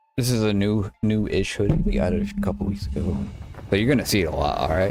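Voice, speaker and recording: A man with an American accent talking very fast with lively intonation, audible room echo around him. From upstate New York. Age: 40s. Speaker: gaming streamer. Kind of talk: live gameplay commentary. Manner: casual, halting.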